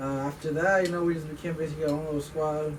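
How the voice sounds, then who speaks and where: A man with an American accent speaks at a fairly high pitch in a flat monotone. Room echo is audible, and background noise is noticeable. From US West Coast, Bay Area. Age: 20s. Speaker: car enthusiast group member. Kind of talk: casual self-introduction.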